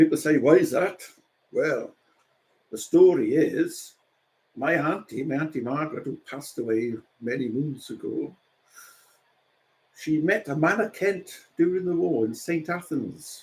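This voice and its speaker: A man in a South Wales Valleys accent, fairly slow pace, with long, frequent pauses. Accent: Welsh, South Wales valleys. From South Wales, Rhondda. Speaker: painter. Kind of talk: casual chat.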